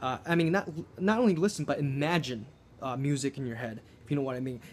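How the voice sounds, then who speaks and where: Over music in the background, a man with a fairly high pitch and ordinary pitch variation talks at a very fast pace. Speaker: guitar teacher. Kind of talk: tutorial.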